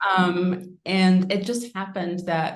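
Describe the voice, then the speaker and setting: Here is a woman with a fairly low-pitched voice. She speaks with a slight New Zealand accent. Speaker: winemaker. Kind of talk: interview.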